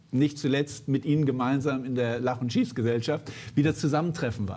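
With a slightly mellow tone, a man talks at a fairly quick pace, his pitch medium and its variation ordinary.

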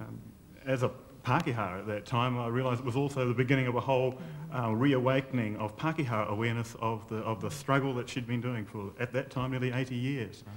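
In a New Zealand accent, the speaker moves at a very fast pace with fairly even intonation. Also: man, medium pitch for a man. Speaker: community worker, former journalist; former journalist. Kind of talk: interview answers. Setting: stage with audience. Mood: warm, admiring. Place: studio.

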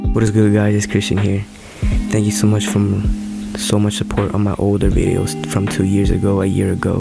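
Backed by music, a man talks at a moderate pace in a dry sound with no echo. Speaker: vlogger. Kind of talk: casual vlog chat. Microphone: phone near.

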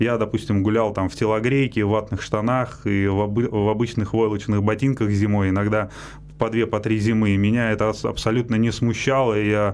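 The delivery has a monotone, flat intonation at a moderate pace. Light background noise can be heard. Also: man. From Russia, Moscow region (Likino-Dulyovo); Russia. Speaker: Paralympic cyclist; guest. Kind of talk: radio interview. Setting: radio studio. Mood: calm, reflective. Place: studio. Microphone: studio mic.

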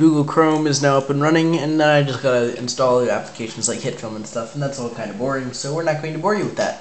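A man talks at a very fast pace with ordinary pitch variation. Noticeable background noise runs under the recording. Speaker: tech YouTuber. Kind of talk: casual tutorial narration. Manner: casual, chatty, slightly halting.

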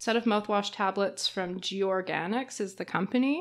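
Speaking with a Canadian accent, a woman has a plain, everyday voice at medium pitch with ordinary pitch variation. The recording is very clean, with a silent background. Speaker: podcast co-host, PhD student. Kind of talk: casual chat.

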